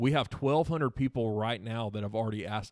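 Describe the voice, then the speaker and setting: The speaker talks at a fairly quick pace with ordinary pitch variation, recorded very cleanly against a silent background with a dry, close sound and no echo. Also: man. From South Carolina (Seneca). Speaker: nonprofit staff member. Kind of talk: casual interview.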